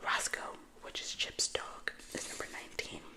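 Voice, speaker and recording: There is noticeable background noise. Over it, a voice whispers. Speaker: ASMR creator. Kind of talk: read story. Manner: whispered.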